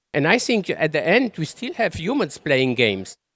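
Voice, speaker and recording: At a moderate pace, the voice sits in a very clean recording with a silent background and a dry, close sound with no echo. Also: man. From Europe. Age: 60s. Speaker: keynote speaker. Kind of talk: keynote speech. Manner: halting, repeats words.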